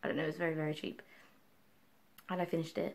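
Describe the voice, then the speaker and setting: A woman is mumbling. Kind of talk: casual book review talk to camera. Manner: mumbly, distracted.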